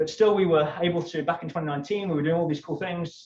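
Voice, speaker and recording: A man with a British accent speaks at a high pitch. His pace is fairly quick. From United Kingdom. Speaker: climate activist. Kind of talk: keynote talk. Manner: animated.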